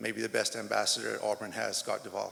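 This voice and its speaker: He talks at a moderate speed. His accent is American. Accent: sounds American. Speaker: track and field coach. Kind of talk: press conference speech. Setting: press conference.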